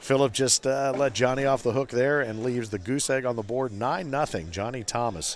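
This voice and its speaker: With hardly any pauses, a man talks at a fairly quick pace in an ordinary speaking voice, his pitch medium with ordinary variation. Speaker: cornhole commentator. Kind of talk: live sports commentary. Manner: conversational, playful.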